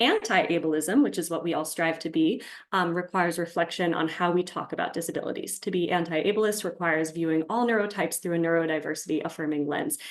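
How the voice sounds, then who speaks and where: Speaking at a very fast pace with hardly any pauses, a woman uses ordinary pitch variation. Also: fairly low pitch for a woman. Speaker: speech-language pathologist. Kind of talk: presentation.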